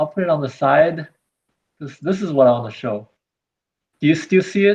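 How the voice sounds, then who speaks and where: A man with a non-native accent speaks at a fairly high pitch and a moderate pace. His intonation is lively, with big swings in loudness. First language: not English. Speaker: robot hobbyist presenting a project. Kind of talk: online meeting show-and-tell. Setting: video call. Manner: halting.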